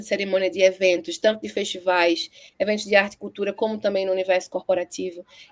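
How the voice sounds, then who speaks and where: A woman talks at a very fast pace, recorded with a dry, close sound and no echo. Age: 30s. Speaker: poet. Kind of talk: interview.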